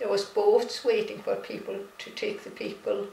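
In a Hebridean accent, a woman speaks very slowly, with light background noise and audible room echo. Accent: Scottish Hebridean. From Isle of Lewis, Outer Hebrides, Scotland. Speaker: artist. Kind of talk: interview answer. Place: home room. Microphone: camera far.

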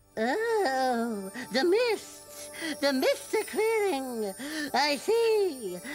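A woman uses a put-on character voice, high-pitched with very wide pitch swings. She speaks at a very slow pace over clear background music. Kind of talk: mystical, theatrical. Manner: silly, dramatic.

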